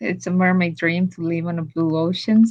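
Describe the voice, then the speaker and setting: This woman's pitch sits fairly low. Her voice is somewhat breathy. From Estonia. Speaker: swimmer and ocean advocate. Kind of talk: casual interview chat.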